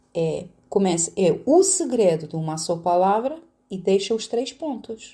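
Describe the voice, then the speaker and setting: A woman speaks at a medium pitch with a Romanian accent in a dark, mellow, somewhat breathy tone. Her fairly slow pace carries very wide pitch swings. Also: very clean recording, silent background. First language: Romanian (speaking Portuguese). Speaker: poet and spiritual counsellor. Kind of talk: interview.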